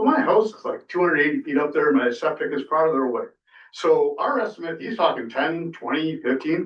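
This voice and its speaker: A man speaks at a fairly quick pace in a high pitch, his intonation lively. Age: 60s. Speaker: fish biologist speaking at public comment. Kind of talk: public comment at city council meeting. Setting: city council chamber. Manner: animated.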